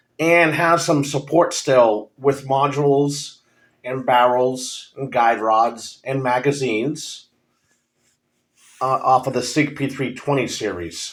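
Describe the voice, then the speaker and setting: A man at a medium pitch, very slow pace and ordinary pitch variation. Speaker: firearms reviewer. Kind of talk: casual product review. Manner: hesitant, many filler ums.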